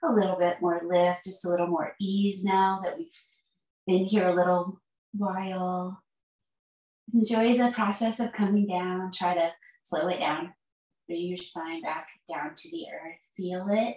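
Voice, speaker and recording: With fairly even intonation, a woman talks at a fairly slow pace with long, frequent pauses, her voice carrying audible room echo against a quiet background. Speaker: yoga teacher. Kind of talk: guided yoga instruction. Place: home room.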